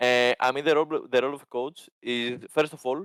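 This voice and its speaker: A man's medium-pitched voice with a Greek accent and fairly even intonation, in a dry, close sound with no echo. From Greece. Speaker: esports team coach. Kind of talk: interview.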